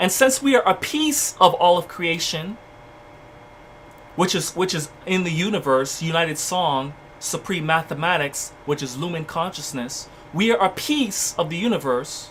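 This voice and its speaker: This man speaks at a moderate pace in a high voice with lively intonation. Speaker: spiritual livestream teacher. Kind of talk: livestream spiritual lecture. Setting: livestream. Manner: repetitive, restarting words.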